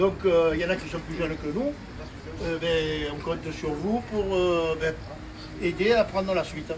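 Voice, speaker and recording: Against noticeable background noise and audible room echo, a man with a high pitch talks fairly slowly, with fairly even intonation and long, frequent pauses. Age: 70s. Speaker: pétanque club president. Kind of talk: speech to volunteers. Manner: halting.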